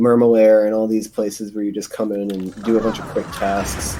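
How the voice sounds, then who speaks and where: Noticeable background noise sits beneath speech at a moderate pace. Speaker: speedrun commentator. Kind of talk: live commentary. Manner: halting.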